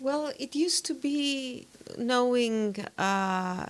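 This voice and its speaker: A woman speaks with a Greek accent and lively intonation. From Greece. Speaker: diplomat. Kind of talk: interview. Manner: hesitant, many fillers.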